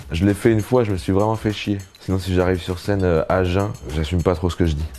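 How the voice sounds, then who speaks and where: At a very fast pace, a man talks in a very deep, low voice. His pitch variation is ordinary. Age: 30s. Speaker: comedian. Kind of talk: casual interview.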